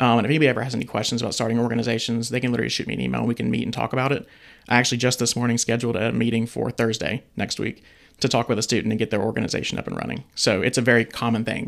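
Speaking at a very fast pace, a man sounds monotone and flat, with vocal fry. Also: medium pitch for a man. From Atlanta, Georgia. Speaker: university student organization administrator. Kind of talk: casual interview.

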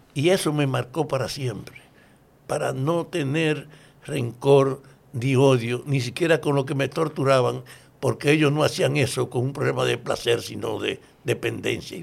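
With vocal fry and fairly even intonation, a man speaks fairly slowly in a medium-pitched voice. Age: 80s+. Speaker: former political prisoner and activist. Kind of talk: interview testimony.

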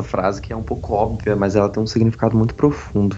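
A man talks at a fairly quick pace with a fairly low pitch. Noticeable background noise runs underneath. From Brazil, Brasília. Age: 20s. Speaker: podcast host, university student. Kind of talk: casual chat.

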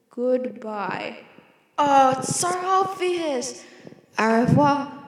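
Lively intonation marks this woman's high-pitched voice as she speaks at a very slow pace. Room echo is audible. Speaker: solo podcaster. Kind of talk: casual monologue. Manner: rambling, self-interrupting.

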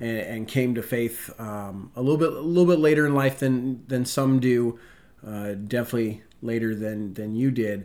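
An ordinary speaking voice belongs to a man with an American accent, medium pitch and a moderate pace. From US Pacific Northwest, Spokane, Washington. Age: 30s. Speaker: podcast co-host, church ministry leader, former Marine. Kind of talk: casual chat.

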